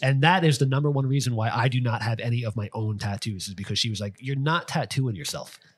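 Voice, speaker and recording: The talk runs at a very fast pace with hardly any pauses, ordinary pitch variation and a somewhat breathy quality, on a very clean recording with a silent background. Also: man, medium pitch for a man. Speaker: tattoo artist podcast host. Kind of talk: casual podcast chat.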